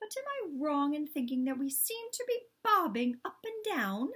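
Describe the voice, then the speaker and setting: Using a put-on character voice, a woman speaks at a moderate pace with a high pitch and very wide pitch swings. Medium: read story. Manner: polite, genteel.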